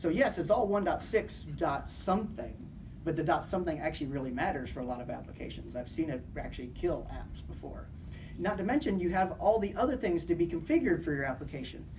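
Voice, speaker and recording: The pace is very fast. Noticeable background noise sits behind the voice. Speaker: conference speaker on software development. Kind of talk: technical conference talk.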